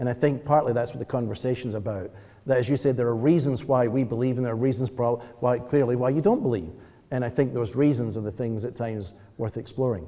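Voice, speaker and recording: A man with a Scottish accent, medium pitch, a dark, mellow tone and a very fast pace. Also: ordinary pitch variation. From Scotland. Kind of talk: panel discussion. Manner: halting.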